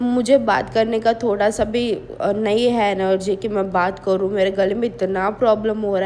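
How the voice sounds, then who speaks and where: Fairly slow and fairly even in intonation, a woman speaks at a medium pitch in a dark, mellow tone. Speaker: vlogger. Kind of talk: vlog voice-over. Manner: casual, chatty.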